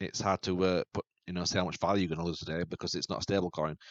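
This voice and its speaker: Speaking at a very fast pace, a man with a very deep, low pitch and a British accent delivers his words in a flat monotone. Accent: UK. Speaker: YouTube crypto channel host. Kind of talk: tutorial. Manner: halting.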